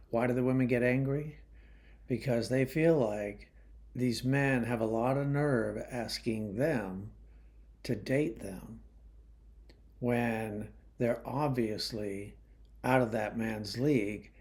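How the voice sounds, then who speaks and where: Amid audible room echo, a man at medium pitch speaks at a very slow pace with fairly even intonation and long, frequent pauses. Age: 60s. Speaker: YouTube commentator. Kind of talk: monologue commentary. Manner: casual, hesitant with fillers.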